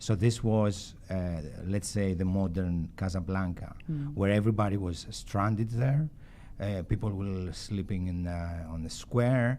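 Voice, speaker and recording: At a fairly slow pace, the voice carries a dark, mellow tone with ordinary pitch variation. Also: man. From Greek, based in London and Athens. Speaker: film director being interviewed. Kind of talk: interview answer.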